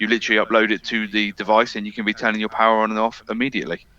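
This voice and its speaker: A man with a British accent talks at a very fast pace and a fairly low pitch, his tone bright and sharp in a dry, close sound with no echo. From UK. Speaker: AV integration specialist. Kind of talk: webinar discussion.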